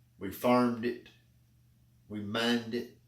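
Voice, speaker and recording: A man of medium pitch speaks in an Appalachian accent at a fairly slow pace with fairly even intonation, with audible room echo. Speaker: public speaking club member. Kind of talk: prepared speech.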